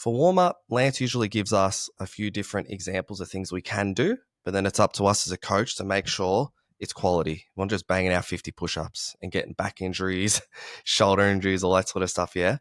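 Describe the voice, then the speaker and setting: A man with an Australian accent speaks at a fairly quick pace with a fairly low pitch. The recording is very clean with a silent background, and the sound is dry and close with no echo. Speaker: martial arts coach. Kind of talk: casual chat. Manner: loud, energetic.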